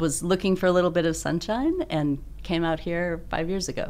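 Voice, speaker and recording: A woman's ordinary speaking voice, fairly low in pitch, at a fairly quick pace. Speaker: coffee buyer. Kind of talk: interview chat.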